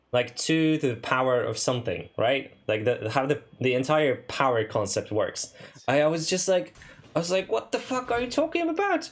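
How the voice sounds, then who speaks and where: Keeping his loudness very even, a man with a Polish accent speaks at a moderate pace. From Poland. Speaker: streamer. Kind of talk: casual chat. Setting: live stream.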